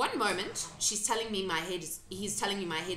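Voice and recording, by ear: Someone reads aloud in a natural voice, the intonation kept fairly even.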